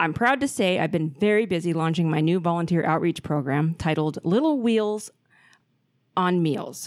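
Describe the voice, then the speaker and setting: A woman's fairly low pitch with lively intonation, very even loudness and a moderate pace, on a very clean recording with a silent background. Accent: Pacific Northwest. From Portland, Oregon. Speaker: podcast host. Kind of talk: casual chat. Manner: profane, casual.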